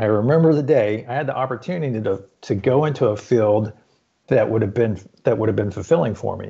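This man's intonation is lively. His pitch sits at a medium level. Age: 50s. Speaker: fitness coach. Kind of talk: interview. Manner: halting.

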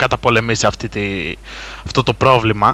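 A man's bright, sharp tone at a moderate pace, in a very clean recording with a silent background. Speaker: gaming site contributor. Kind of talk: casual chat.

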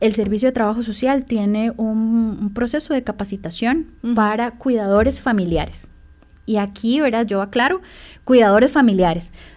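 With an unremarkable speaking voice, a woman talks at a moderate pace, fairly high in pitch and with ordinary pitch variation. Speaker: social worker. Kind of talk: radio interview.

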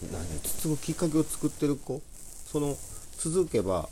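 Somewhat breathy and dark, mellow in tone, a man's fairly low voice moves at a moderate pace. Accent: Kansai. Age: 40s. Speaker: poultry farmer and gardener, business owner. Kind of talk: casual chat.

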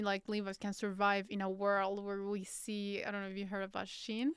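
In a very clean recording with a silent background, a woman speaks with a Spanish accent. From Colombia. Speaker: podcast host. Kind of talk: interview conversation.

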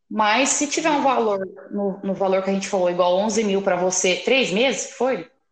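Room echo is audible as a woman speaks at a medium pitch and moderate pace. Her intonation is lively and her loudness very even. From interior of São Paulo, Brazil. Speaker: podcast host, journalist. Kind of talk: casual interview chat.

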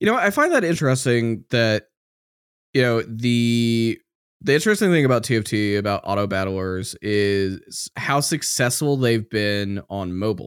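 A man's normal speaking voice at a moderate pace and medium pitch, ordinary pitch variation, very clean recording with a silent background. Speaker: podcast host. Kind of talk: interview, casual conversational. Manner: casual, talkative.

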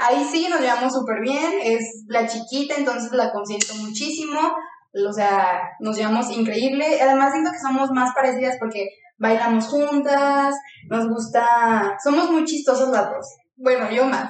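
In a Bajío Mexican accent, a woman with a high pitch speaks at a fairly slow pace with ordinary pitch variation. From Mexico, León, Guanajuato. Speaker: podcast co-host. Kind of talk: casual chat.

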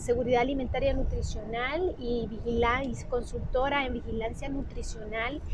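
Through noticeable background noise and audible room echo, a woman speaks at a fairly slow pace in a high pitch with ordinary pitch variation. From Honduras. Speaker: physician and nutrition consultant. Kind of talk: solo podcast monologue. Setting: recorded on a mobile phone. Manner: halting, many fillers and repetitions. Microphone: phone mic.

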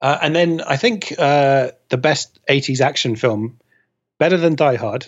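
With an ordinary speaking voice, a man talks at a fairly slow pace, using a fairly high pitch and ordinary pitch variation. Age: 30s. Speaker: film data researcher. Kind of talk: casual chat.

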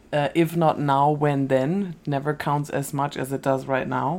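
A woman with a very deep, low voice speaks in a German accent at a fairly slow pace. The recording is very clean, with a silent background. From Germany. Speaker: podcast co-host. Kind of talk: scripted narration.

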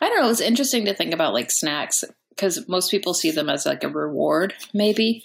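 An ordinary speaking voice with an American accent carries lively intonation. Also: woman. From rural Texas. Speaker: comedian. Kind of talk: show plug; casual chat.

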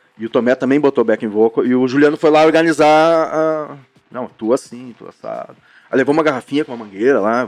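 A man's fairly high, normal speaking voice at a fairly quick pace, with ordinary pitch variation, big swings in loudness, and a dry, close sound with no echo. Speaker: rock band singer and guitarist. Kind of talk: casual chat.

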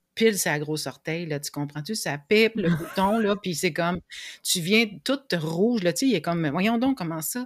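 A woman's fairly low voice with lively intonation at a fairly slow pace, on a very clean recording with a silent background. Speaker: emotional agility coach. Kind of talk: interview.

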